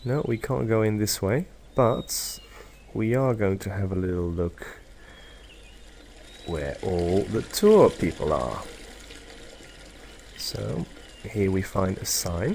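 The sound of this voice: With vocal fry and a slightly mellow tone, a man with a fairly low pitch speaks slowly, with big pitch swings and long, frequent pauses.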